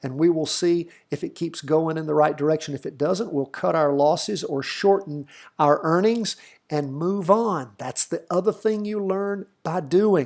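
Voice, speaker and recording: A man with a high voice and a slight Southern US accent speaks at a moderate pace. His pitch varies in an ordinary way on a very clean recording with a silent background. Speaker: stock market educator. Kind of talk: tutorial. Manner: casual.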